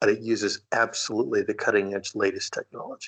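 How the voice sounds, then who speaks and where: The setting is quiet in the background. A man talks at a moderate pace. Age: 60s. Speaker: recording engineer and musician. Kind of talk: interview.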